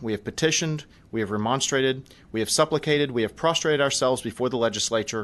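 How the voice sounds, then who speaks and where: A man speaks very fast at a medium pitch with ordinary pitch variation. The background stays quiet. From Texas. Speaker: public hearing witness. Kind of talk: testimony. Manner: formal, oratorical.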